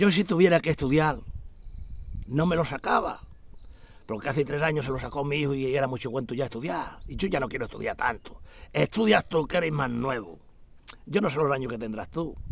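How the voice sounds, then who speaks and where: Lively intonation from a man at a fairly quick pace, with long, frequent pauses and a dry sound with no echo. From Extremadura, Spain (Garrovillas de Alconétar, Cáceres); Extremadura, Spain. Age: 60s. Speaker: retired hunter vlogger. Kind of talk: casual monologue. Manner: animated. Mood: indignant, complaining. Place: garden. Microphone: phone near.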